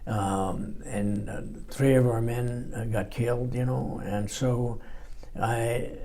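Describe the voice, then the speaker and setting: Speaking at a very slow pace, a man with an American accent is heard with audible room echo and noticeable background noise. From Los Angeles, California. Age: 90s. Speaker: war veteran. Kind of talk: oral history interview. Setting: library recording room. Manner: halting, many fillers and repeats.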